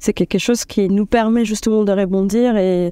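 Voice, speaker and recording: A medium-pitched woman's voice, dark and mellow, at a moderate pace with fairly even intonation over a quiet background. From Dominican Republic. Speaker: UX designer. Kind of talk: interview. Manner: hesitant, many filler sounds.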